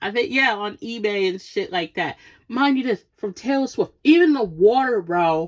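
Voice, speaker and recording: A woman in a New York accent, fairly high in pitch with very wide pitch swings, animated in tone at a moderate pace. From Brooklyn, New York. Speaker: podcast host. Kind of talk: casual rant.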